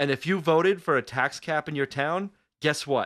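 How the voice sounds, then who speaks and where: Recorded with a dry, close sound with no echo and a quiet background, a man speaks in an American accent. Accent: Long Island accent, stronger when angry. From Long Island, New York. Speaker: radio podcast host. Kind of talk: talk radio rant. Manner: animated.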